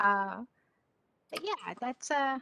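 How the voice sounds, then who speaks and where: A woman with a strong Southern accent speaks in a bright, sharp tone with ordinary pitch variation. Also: dry sound with no echo. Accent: strong Southern twang. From Georgia (US South). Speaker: session participant, educator. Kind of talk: casual discussion contribution. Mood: reflective, thoughtful. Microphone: video call.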